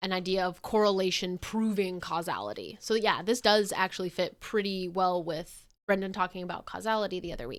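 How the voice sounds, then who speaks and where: With a normal speaking voice at medium pitch, a woman talks at a fairly quick pace with hardly any pauses and fairly even intonation, on a very clean recording with a silent background. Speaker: physics educator streamer. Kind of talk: casual educational livestream. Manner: casual with fillers. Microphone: mic on the quiet side, gain added.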